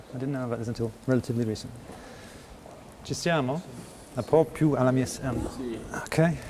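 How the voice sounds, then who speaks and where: Over noticeable background noise, a man at medium pitch talks at a very fast pace with fairly even intonation, broken by long, frequent pauses. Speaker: interviewer. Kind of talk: interview. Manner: soft-spoken; halting.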